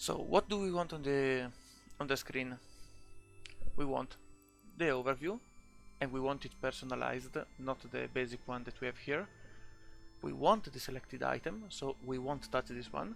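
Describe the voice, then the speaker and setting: Music plays behind a man with a non-native accent who talks at a moderate pace and medium pitch. His pitch varies in an ordinary way, and he leaves long, frequent pauses. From Italy. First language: Italian. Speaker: video game tutorial maker. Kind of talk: screen-recorded game tutorial. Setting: home recording, poor audio.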